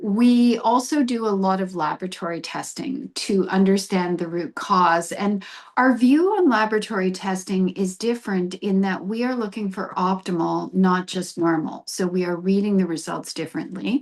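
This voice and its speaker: A woman with a Canadian accent and an unremarkable speaking voice talks at a moderate pace and medium pitch, with ordinary pitch variation and hardly any pauses, over a quiet background. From Canadian prairies (Brandon, Manitoba). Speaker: naturopathic doctor. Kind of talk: interview.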